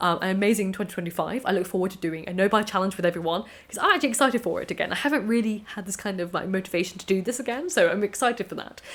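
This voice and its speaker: There is noticeable background noise behind this woman. She talks at a very fast pace with a medium pitch. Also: ordinary pitch variation. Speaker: video creator. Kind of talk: casual vlog talk to camera. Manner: slightly out of breath.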